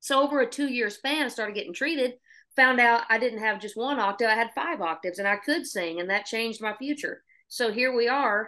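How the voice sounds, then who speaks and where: A woman with a Southern US accent, fairly high-pitched and bright, sharp in tone, at a fairly quick pace against a quiet background. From Oklahoma. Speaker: singer-songwriter. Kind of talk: podcast interview.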